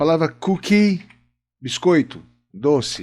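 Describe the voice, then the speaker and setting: On a very clean recording with a silent background, a man talks. He has a Brazilian accent and lively intonation. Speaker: English teacher. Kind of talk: lesson. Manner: explanatory, informal.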